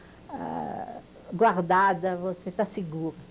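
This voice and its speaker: A woman speaks in a French accent with vocal fry. Her intonation is fairly even. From France (Paris), born in Poland. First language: French (speaking Portuguese). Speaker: Holocaust-era witness, interviewee. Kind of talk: oral history interview. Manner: halting, with hesitations.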